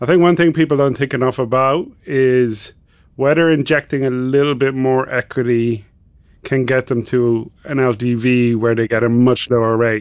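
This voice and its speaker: Keeping his loudness very even, a man speaks at a moderate pace with fairly even intonation. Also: medium pitch for a man. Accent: Irish. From Ireland. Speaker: financial journalist. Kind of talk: casual chat.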